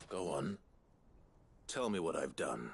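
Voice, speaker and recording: A man puts on a character voice. It is raspy and pitched very deep and low. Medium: video game. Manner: low, controlled.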